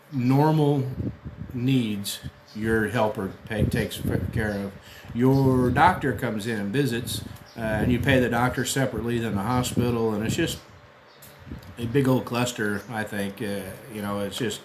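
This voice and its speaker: With long, frequent pauses and fairly even intonation, a man speaks at a fairly slow pace amid audible room echo and noticeable background noise. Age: 60s. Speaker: expat vlogger. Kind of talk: casual monologue. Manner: hesitant, many fillers.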